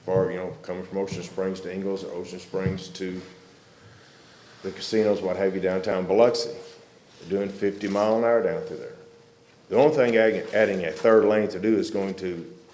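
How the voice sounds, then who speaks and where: A man with a Southern US accent, fairly low-pitched and moderately paced, with big swings in loudness, audible room echo and noticeable background noise. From Arkansas. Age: 60s. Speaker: public commenter, military veteran. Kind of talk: public comment at county meeting.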